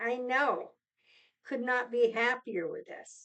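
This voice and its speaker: Very slowly, a woman speaks in a high pitch with lively intonation. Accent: American. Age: 70s. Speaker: lifestyle vlogger. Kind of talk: casual vlog talk. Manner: halting.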